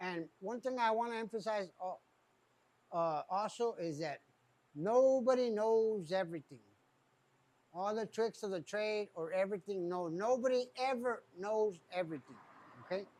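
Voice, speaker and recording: A man with a high pitch talks at a moderate pace, his pitch varying in an ordinary way. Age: 60s. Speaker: tire shop owner. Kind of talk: casual talk to camera.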